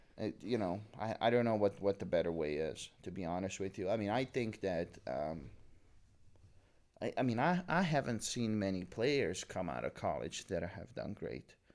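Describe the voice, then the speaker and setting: The recording is very clean with a silent background. A man with vocal fry and a fairly low pitch talks at a moderate pace. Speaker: podcast host. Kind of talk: casual chat. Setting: audio podcast recording. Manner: halting, many fillers and repeats.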